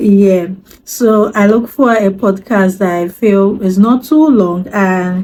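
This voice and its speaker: A woman with a Yoruba accent, medium in pitch with ordinary pitch variation, her tone dark and mellow, at a very slow pace and very even loudness. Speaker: language learner vlogger. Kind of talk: casual vlog talk. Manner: hesitant, many fillers.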